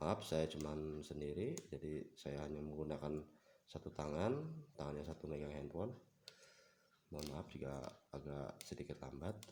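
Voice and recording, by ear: Putting on a character voice, a man speaks with a very deep, low pitch and fairly even intonation at a moderate pace. His voice is croaky and hoarse.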